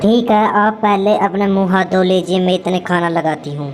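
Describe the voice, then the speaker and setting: Over clear background noise, a woman does a cartoonish character voice at medium pitch and a moderate pace. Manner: gentle, concerned.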